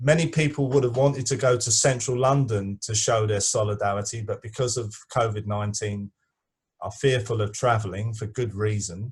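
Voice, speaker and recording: This man has a medium pitch and a somewhat breathy voice. His intonation stays fairly even at a fairly quick pace. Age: 60s. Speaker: activist. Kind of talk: online discussion. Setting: video call. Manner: halting.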